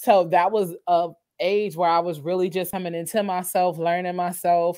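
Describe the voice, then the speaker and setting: A woman with medium pitch, an unremarkable speaking voice at a moderate pace with ordinary pitch variation, in a very clean recording with a silent background. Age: 30s. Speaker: podcaster and content creator. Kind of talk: casual chat.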